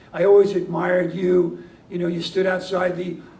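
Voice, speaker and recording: Amid audible room echo and noticeable background noise, a man with an American accent talks at a fairly quick pace. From New York. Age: 60s. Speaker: peace activist receiving an award. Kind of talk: award acceptance speech. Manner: halting, with many fillers.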